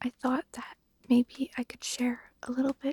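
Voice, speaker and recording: Someone whispers, soft-spoken and at a fairly slow pace. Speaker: ASMR storyteller. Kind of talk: ASMR talk to listener, breathing guidance. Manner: soft-spoken, whispered.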